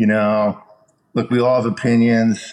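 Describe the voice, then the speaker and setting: Speaking at a moderate pace, a man with an American accent uses an ordinary speaking voice, medium in pitch with ordinary pitch variation. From Chicago, US Midwest. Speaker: entertainment executive. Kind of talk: casual interview.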